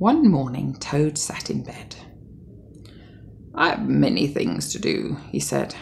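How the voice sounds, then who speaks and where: This woman speaks with a British accent. Her pace is very slow. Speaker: mother. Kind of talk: bedtime story.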